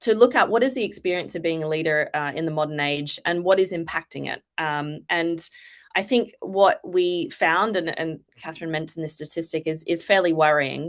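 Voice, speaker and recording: Over a quiet background, a woman with a fairly low pitch and ordinary pitch variation talks at a moderate pace with hardly any pauses. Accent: Australian. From Australia. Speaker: foundation executive and political psychologist. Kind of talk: panel presentation. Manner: hesitant, many fillers.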